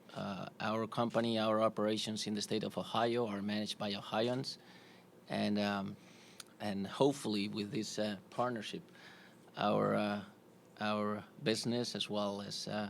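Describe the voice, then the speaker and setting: A man with a Spanish accent speaks in a monotone with flat intonation. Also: fairly low pitch for a man, moderate pace. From Spain, Madrid. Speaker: corporate executive, sponsor representative. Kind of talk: press conference. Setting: press conference with audience. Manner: halting, many fillers.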